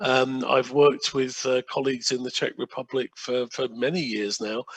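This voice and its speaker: Speaking at a moderate pace, a man keeps a medium pitch in a monotone, flat intonation. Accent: English. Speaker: sustainable procurement consultant and workshop trainer. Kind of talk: online workshop presentation. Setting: video call from home. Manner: halting, many fillers.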